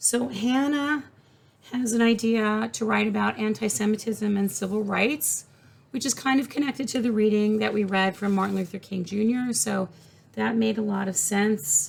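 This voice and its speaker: A woman's somewhat breathy voice at a moderate pace, with ordinary pitch variation. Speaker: college professor. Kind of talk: recorded class announcement. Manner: casual, many filler words.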